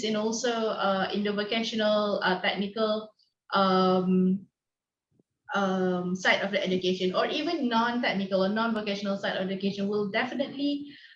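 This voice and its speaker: A woman's somewhat breathy voice, fairly high in pitch, with ordinary pitch variation at a moderate pace. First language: not English. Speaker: online teacher conference facilitator. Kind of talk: video call discussion.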